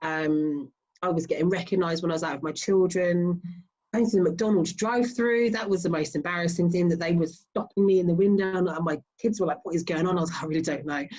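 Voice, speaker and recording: In a southern English accent, a woman talks at a very fast pace and a fairly low pitch with ordinary pitch variation. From Southeast England. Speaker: strongwoman athlete. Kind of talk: interview.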